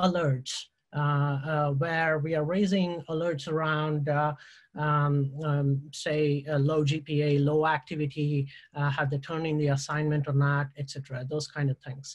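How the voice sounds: At a fairly slow pace, a man speaks with a fairly high pitch and little pitch movement.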